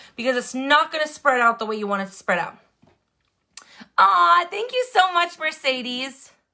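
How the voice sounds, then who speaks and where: A woman with an American accent speaks at a moderate pace in a raised, projected voice, her high pitch carrying a bright, sharp tone. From Wisconsin. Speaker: makeup tutorial livestreamer. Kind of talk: live makeup tutorial.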